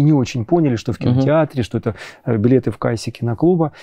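Speaking very fast with lively intonation, a man comes across dry and echo-free over a quiet background. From Ukraine. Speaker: psychologist, film club host; film club host. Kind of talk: interview. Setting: cinema hall. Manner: halting. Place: hall. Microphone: lapel.

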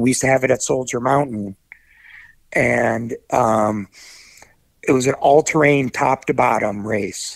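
A man with an American accent speaks in a normal speaking voice at a moderate pace and medium pitch, the sound dry and close with no echo. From Cleveland, Ohio, US Midwest. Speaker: telemark skier and event organizer. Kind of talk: casual interview chat.

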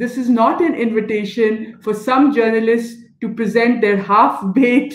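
Audible room echo surrounds a voice moving at a fairly slow pace with ordinary pitch variation. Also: woman. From Pakistan. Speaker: NGO director. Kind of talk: panel discussion. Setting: video call. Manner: animated. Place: home room. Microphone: video call.

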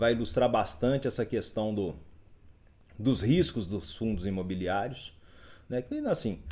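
A man with a Minas Gerais accent, a dark, mellow tone, vocal fry, lively intonation and a moderate pace. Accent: Mineiro Brazilian Portuguese. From Minas Gerais, Brazil. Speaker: investment educator. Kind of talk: live stream market commentary reading chat. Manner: casual, upbeat. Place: home room.

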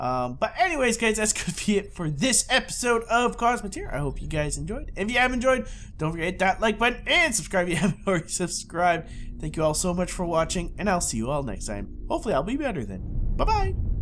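Very fast and high-pitched, a man's voice jumps through very wide pitch swings. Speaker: gaming YouTuber. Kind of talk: gameplay commentary. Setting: home recording. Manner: casual, chatty.

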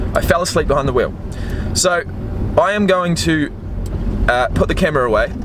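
A man talks at a very fast pace with long, frequent pauses over noticeable background noise. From New Zealand, Christchurch. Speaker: vlogger. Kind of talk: personal vlog storytelling. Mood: reflective, storytelling. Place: car. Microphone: phone near.

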